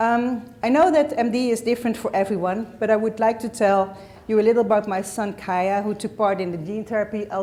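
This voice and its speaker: Talking at a fairly quick pace, a woman with a Dutch accent and medium pitch keeps a fairly even intonation. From Netherlands. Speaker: parent of patient. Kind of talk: reading aloud.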